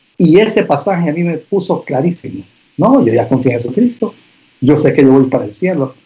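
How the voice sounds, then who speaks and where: Somewhat breathy and dark, mellow in tone, a man's voice moves through very wide pitch swings. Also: fairly high pitch for a man, fairly quick pace. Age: 50s. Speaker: pastor and business owner. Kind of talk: casual interview conversation.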